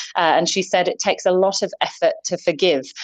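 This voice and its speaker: At a fairly quick pace, a woman with a fairly low pitch speaks in a plain, everyday voice. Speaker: UK correspondent reporting by call. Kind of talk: news correspondent report. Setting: remote link from the UK.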